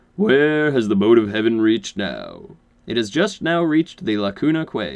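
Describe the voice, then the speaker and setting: Someone speaks in a put-on character voice. The pace is moderate. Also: man, medium pitch for a man. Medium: read story. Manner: formal, deferential.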